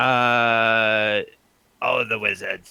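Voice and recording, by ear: At a medium pitch, a man performs a put-on character voice.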